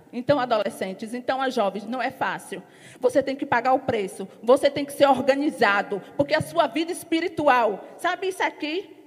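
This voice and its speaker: Speaking at a moderate pace, a woman with a high pitch uses an animated tone and lively intonation. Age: 40s. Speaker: church member giving an offering exhortation. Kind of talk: sermon.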